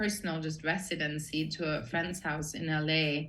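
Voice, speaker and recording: A woman with an Austrian accent speaks at a fairly slow pace. Her tone is bright and sharp, with audible room echo. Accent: Austrian accent, kept. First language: German. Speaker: production designer. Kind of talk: interview conversation.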